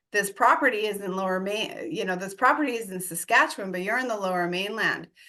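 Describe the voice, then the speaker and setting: With an American accent and a bright, sharp tone, a woman speaks very fast at a medium pitch, her intonation lively and her tone animated. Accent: American, shows at times. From US, Denver Colorado. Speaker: real estate investor and coach. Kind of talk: podcast interview.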